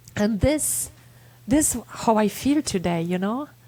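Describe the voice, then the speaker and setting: A very slow woman's voice, fairly high in pitch with ordinary pitch variation, in a Polish accent. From Poland. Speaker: resilience speaker and author. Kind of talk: casual interview chat. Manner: emotional, heartfelt.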